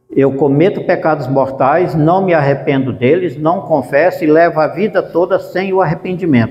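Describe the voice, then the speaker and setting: Noticeable background noise sits behind a man with a fairly high pitch and ordinary pitch variation. He keeps a moderate pace with hardly any pauses. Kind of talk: religious formation talk.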